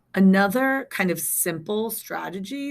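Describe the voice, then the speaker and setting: In a very clean recording with a silent background, a woman speaks at a fairly slow pace with lively intonation. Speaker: staff development teacher. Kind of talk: recorded training presentation. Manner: naturally loud.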